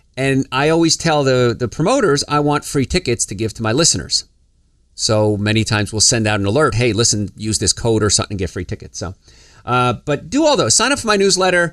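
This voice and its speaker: Speaking with a New Jersey accent, a man at medium pitch moves at a fairly quick pace with very wide pitch swings. The recording is very clean, dry and close with no echo, over a silent background. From New Jersey, US. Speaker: health podcast host, doctor. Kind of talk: casual podcast talk. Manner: fast.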